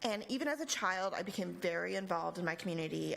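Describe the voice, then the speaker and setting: A woman's fairly low voice with an American accent and vocal fry, fairly quick, with audible room echo. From Texas, El Paso. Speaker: nonprofit regional director. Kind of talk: lecture.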